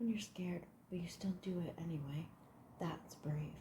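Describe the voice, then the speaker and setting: This woman's voice is somewhat breathy, with a dark, mellow tone. Her pitch sits fairly low and her pace is fairly slow. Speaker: ASMR artist. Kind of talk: whispered audiobook-style reading for sleep.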